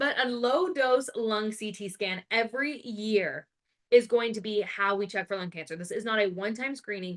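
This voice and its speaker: An American woman speaks at a moderate pace with a fairly high pitch, an animated tone and ordinary pitch variation. Her loudness swings a lot, and the background stays quiet. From Arizona, US. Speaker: family nurse practitioner, educator. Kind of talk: live webinar lecture. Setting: online webinar.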